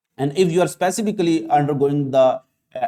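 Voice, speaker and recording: A man with a Pakistani accent, dark and mellow in tone, with ordinary pitch variation. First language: Urdu. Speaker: biology teacher. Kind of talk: lecture. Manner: halting, many fillers.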